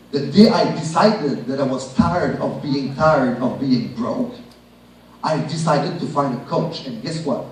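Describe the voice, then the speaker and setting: Speaking at a moderate pace with a Quebec accent, a man uses lively intonation at a fairly high pitch, with audible room echo and noticeable background noise. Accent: French-Canadian accent in English. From Quebec (Shawinigan). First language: French. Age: 30s. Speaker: network marketing speaker. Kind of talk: motivational business presentation. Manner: animated.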